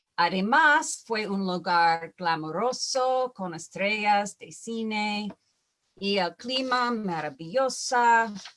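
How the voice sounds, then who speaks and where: Speaking very slowly with an English accent, a woman uses a medium pitch and lively intonation. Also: very clean recording, silent background. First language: English (speaking Spanish). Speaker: wildfire scientist, panelist. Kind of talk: conference presentation. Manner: halting, many fillers.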